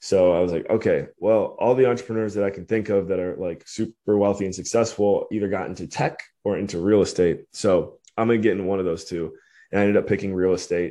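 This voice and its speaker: Over a quiet background, a man with a Midwestern American accent speaks at a very fast pace. His voice is fairly low-pitched and dark, mellow in tone, with fairly even intonation. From US Midwest, Cleveland, Ohio. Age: 30s. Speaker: entrepreneur. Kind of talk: casual interview.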